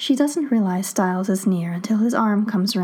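Someone is doing plain reading aloud. Their pitch moves up and down the usual amount.

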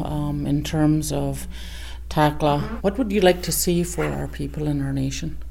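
Speaking at a fairly slow pace, a woman is heard over noticeable background noise with audible room echo. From northern British Columbia, Canada. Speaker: community health worker and smoker documenting her life. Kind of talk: casual self-recorded audio diary and interviews. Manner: hesitant, with fillers.

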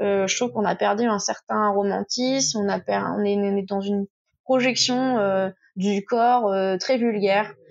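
A woman at medium pitch speaks at a moderate pace with fairly even intonation. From Touraine, France. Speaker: sexology specialist. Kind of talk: casual interview.

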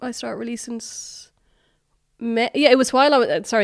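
Her words come out fairly quickly with normal rises and falls in pitch, the woman recorded very cleanly against total silence. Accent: Irish. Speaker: singer-songwriter. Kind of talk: interview.

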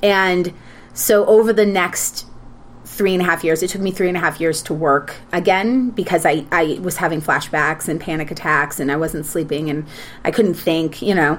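Speaking at a moderate pace, a woman uses a normal speaking voice. Her pitch is fairly low, with ordinary pitch variation. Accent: American. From Minnesota. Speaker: actress and TV producer. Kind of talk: casual chat.

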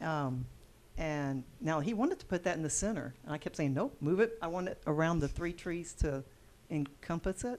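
Against a quiet background, a woman with a fairly low pitch speaks at a moderate pace with lively intonation. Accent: Texan. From Texas. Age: 60s. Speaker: bed and breakfast and event venue owner. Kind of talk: casual interview conversation.

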